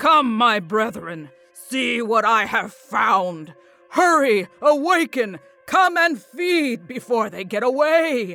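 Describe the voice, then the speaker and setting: Faint music plays in the background as a man puts on a character voice at an extremely high pitch. He speaks at a very slow pace. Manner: bellowing, urgent.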